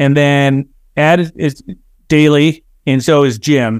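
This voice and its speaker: A man speaks with an American accent at a fairly high pitch. The recording is very clean, with a silent background and a dry, close sound with no echo. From Chicago southwest suburbs, Illinois. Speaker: building products executive. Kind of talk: interview. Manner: halting, many repetitions and fillers.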